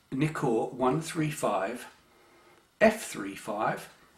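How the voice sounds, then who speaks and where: A man speaks with an English accent at a medium pitch. His intonation is lively. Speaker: amateur photography youtuber. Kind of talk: casual chat. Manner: hesitant, many fillers.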